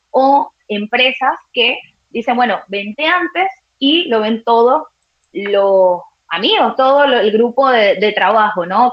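This woman has a fairly high pitch, lively intonation and an ordinary speaking voice. She talks at a fairly slow pace. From Venezuela. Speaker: sports journalist. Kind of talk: live sports talk show.

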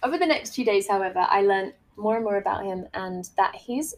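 Animated and lively in intonation, a woman speaks fairly quickly at a medium pitch. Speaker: podcast host, life coach. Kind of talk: casual monologue.

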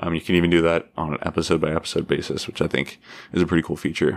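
A man talks at a very fast pace in an American accent, his pitch very deep and low. His intonation stays monotone and flat over a very clean recording with a silent background. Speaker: podcast host. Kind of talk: solo podcast monologue. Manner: halting, many fillers.

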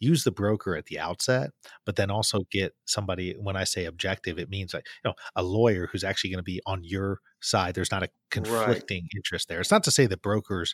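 A man's fairly low voice at a very fast pace, with ordinary pitch variation, a dry, close sound with no echo, and a very clean recording with a silent background. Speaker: podcast host. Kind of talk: conversational, explanatory. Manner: fast talker.

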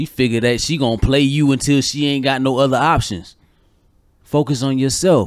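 The man speaks at a fairly high pitch. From Georgia, US. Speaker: podcast co-host. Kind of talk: casual chat. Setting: studio.

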